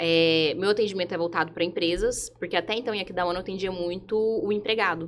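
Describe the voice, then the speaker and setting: With a Goiás accent, a woman talks at a very fast pace and a medium pitch, hardly pausing, her intonation fairly even. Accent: Goiás accent, often taken for Minas Gerais. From Brazil, Goiânia (Goiás). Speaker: lawyer. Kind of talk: podcast panel interview.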